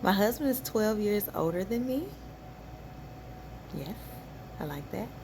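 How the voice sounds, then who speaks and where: Speaking at a fairly slow pace in a relaxed tone, a woman with a medium pitch leaves long, frequent pauses. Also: lively intonation. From US South, Benton, Arkansas. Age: 40s. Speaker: vlogger, hairstylist and salon owner. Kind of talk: personal vlog, life story. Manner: relaxed, unhurried with many fillers.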